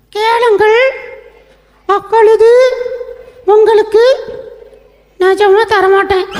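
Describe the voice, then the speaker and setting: A cartoonish character voice sits at an extremely high pitch with monotone, flat intonation. It moves at a very slow pace. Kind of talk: children's puppet show.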